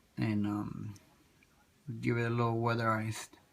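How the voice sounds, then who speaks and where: A soft-spoken man's voice, medium in pitch, at a moderate pace. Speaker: toy diorama hobbyist. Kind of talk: tutorial. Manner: halting.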